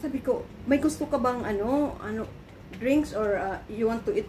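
The speech moves at a moderate pace. Light background noise can be heard. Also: woman. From Philippines. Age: 50s. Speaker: vlogger. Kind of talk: casual vlog storytelling. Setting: in her apartment. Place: home room. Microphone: phone near.

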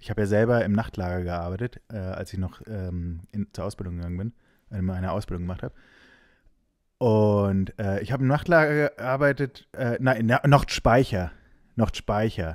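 A man talks at a moderate pace in a normal speaking voice, fairly low in pitch with ordinary pitch variation. The recording is very clean, with a silent background. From Hesse, Giessen. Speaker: music booking agent. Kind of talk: casual chat.

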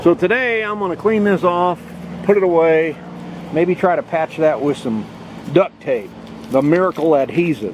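A man's high-pitched voice at a moderate pace with long, frequent pauses, dry sound with no echo and light background noise. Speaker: RV vlogger. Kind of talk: casual vlog chat. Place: open country. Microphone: phone near.

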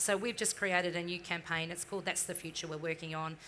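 A woman's fairly low, bright and sharp voice, fairly quick and monotone with flat intonation, over light background noise. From New Zealand. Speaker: marketing executive; panelist. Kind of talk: interview on stage. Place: stage.

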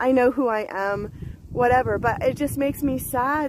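A woman is speaking. She talks with an American accent. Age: 50s. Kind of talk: casual talk to camera. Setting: outdoors.

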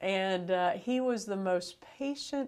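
The background stays quiet. The voice belongs to a woman with an American accent. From Florida. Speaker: bishop. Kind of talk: interview. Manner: casual. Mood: warm, friendly. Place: studio. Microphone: lapel.

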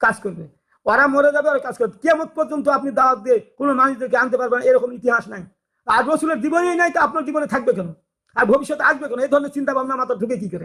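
A man's raised, projected voice, extremely high in pitch, bright and sharp in tone, with ordinary pitch variation. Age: 60s. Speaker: religious YouTuber. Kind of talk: religious talk. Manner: halting.

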